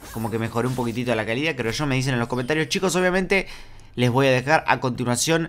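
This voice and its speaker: Very fast speech from a man at medium pitch, lively intonation over noticeable background noise. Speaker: gaming YouTuber. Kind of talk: gameplay commentary.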